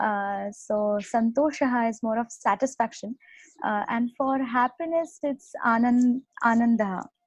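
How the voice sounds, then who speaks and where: In a dry, close recording with no echo, a woman speaks in a Marathi accent at a fairly high pitch. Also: ordinary pitch variation, moderate pace, quiet background. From India, Mumbai. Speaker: Sanskrit graduate. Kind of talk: casual language comparison chat. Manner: halting, many fillers.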